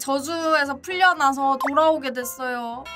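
With clear music in the background, a woman speaks very slowly in a high pitch with ordinary pitch variation. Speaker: livestreamer. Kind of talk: casual livestream chat to viewers. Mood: playful, grateful, cute. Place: home room.

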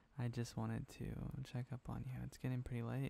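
The tone is soothing. The pace is moderate. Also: man. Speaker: asmr voice actor playing boyfriend. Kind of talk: asmr boyfriend roleplay, whispered close-mic. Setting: close-mic audio recording. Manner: tender, sleepy, soothing.

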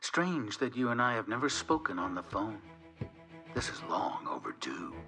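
Over clear music in the background, a man does a put-on character voice that is raspy, medium in pitch and set at a moderate pace. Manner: taunting, cold, menacing.

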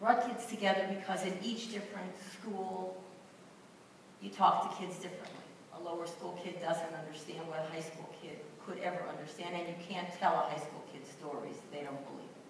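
Noticeable background noise and strong room echo fill this clip of a woman speaking. Her pitch varies in an ordinary way, and her loudness swings widely. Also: fairly low pitch for a woman, moderate pace. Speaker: panelist. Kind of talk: personal reflection testimony. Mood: solemn, emotional recollection. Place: hall.

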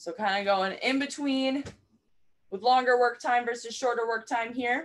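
A woman speaks, her pitch varying in an ordinary way. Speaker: fitness instructor. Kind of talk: tutorial. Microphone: camera far.

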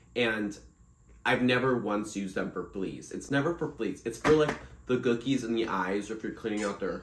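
Audible room echo surrounds the voice, with light background noise. Pitch varies in an ordinary way. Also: man. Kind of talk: casual vlog chat. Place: home room. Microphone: phone near.

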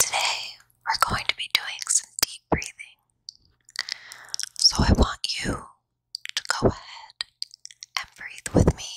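A woman whispers at a very slow pace, with long, frequent pauses and big swings in loudness. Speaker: therapist and ASMR creator. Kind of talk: guided relaxation meditation. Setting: binaural recording, best with headphones. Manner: whispered, soft, slow. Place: home room. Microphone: handheld.

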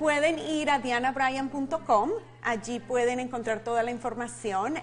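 A woman with a fairly high voice speaks with ordinary pitch variation against light background noise. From Colombia. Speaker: ministry leader and life coach; life coach. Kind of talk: interview. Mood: warm, smiling. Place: studio. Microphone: lapel.

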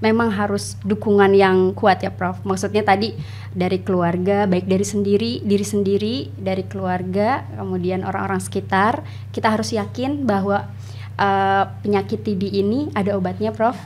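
Someone speaks at a moderate pace over light background noise. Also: woman. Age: 30s. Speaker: doctor and tuberculosis survivor. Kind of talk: interview. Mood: calm, reflective, warm. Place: studio. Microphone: studio mic.

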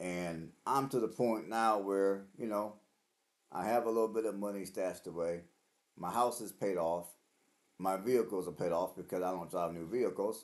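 Over a quiet background, a man with a fairly low pitch speaks at a moderate pace with fairly even intonation. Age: 40s. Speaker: vlogger. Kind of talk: casual monologue to camera. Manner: halting, with fillers and repeats. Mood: earnest, reflective. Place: home room.

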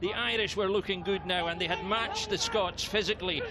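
Over noticeable background noise, a man with a high pitch sounds animated and enthusiastic, his pitch varying in an ordinary way. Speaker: sports commentator. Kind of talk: live-style sports commentary recap. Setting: voiceover over match highlights. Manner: animated, brisk, enthusiastic play-by-play delivery.

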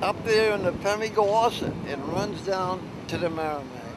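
Over noticeable background noise, a man talks at a fairly slow pace in a dry sound with no echo. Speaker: local storyteller on boat trip. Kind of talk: casual interview answer. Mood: cheerful, reminiscing. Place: boat. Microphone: phone near.

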